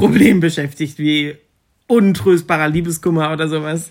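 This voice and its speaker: With ordinary pitch variation and a fairly high voice, a man talks at a moderate pace. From northern Germany, near Osnabrück. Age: 20s. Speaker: university student, podcast co-host. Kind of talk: casual chat. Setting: at home.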